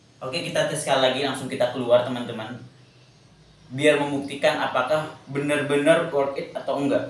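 Fairly quick delivery with fairly even intonation and audible room echo. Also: man. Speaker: product reviewer. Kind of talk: casual product review. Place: home room.

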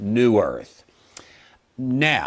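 Very slowly, a man talks against a quiet background. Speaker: bible teacher. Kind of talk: lecture explaining chart. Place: studio. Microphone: lapel.

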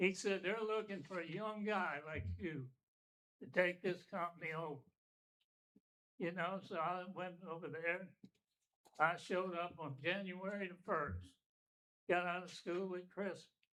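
Speaking with an Alabama accent, a man has a high pitch, a bright, sharp tone and fairly even intonation. He leaves long, frequent pauses. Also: fairly slow pace. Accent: Southern US (Alabama). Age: 80s+. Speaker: retired business owner speaking at public hearing. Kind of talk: public comment at town meeting.

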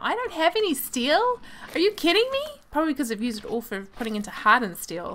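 With a New Zealand accent, a woman speaks very fast at a high pitch with very wide pitch swings. There is noticeable background noise. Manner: frustrated, exasperated.

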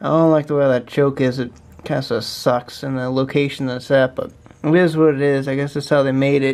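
Here a man speaks at a moderate pace. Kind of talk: casual vlog chat. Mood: relaxed, casual, some swearing. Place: garage. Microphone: phone near.

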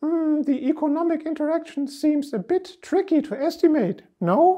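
Using a put-on character voice, a man speaks at a moderate pace with an extremely high pitch.

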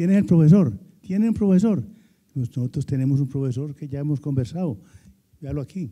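A man with a fairly high pitch and a dark, mellow tone speaks at a moderate pace, somewhat breathy. His intonation is lively, and the background is quiet. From Antioquia, Colombia. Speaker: retired professor and former executive; retired professor. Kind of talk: panel discussion. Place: hall. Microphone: handheld.

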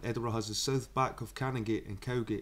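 This is a man's voice. He speaks with a Scottish accent. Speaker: YouTuber reading a book aloud. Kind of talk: reading aloud; casual chat. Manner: halting.

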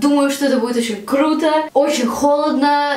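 Amid audible room echo, a woman speaks fairly quickly in a high pitch. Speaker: youtuber. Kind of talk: casual vlog chat. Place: bathroom.

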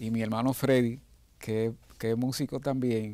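A man's dark, mellow voice at medium pitch, fairly even in intonation and moderate in pace, with a dry sound and no echo. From Dominican Republic, San Juan de la Maguana; Dominican Republic. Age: 60s. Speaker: pianist and music arranger. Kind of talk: interview. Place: studio. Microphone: lapel.

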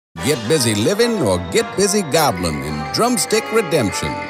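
Music plays behind a man speaking at a fairly slow pace. His pitch swings very widely. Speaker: voice actor. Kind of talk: game trailer read.

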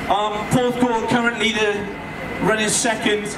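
The speaker keeps a moderate pace over loud background noise. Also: man. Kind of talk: commentary. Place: street.

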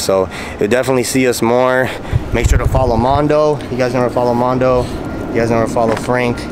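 Very fast speech comes from a man. Noticeable background noise is audible throughout. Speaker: vlogger. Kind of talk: casual vlog chat. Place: street. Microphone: phone near.

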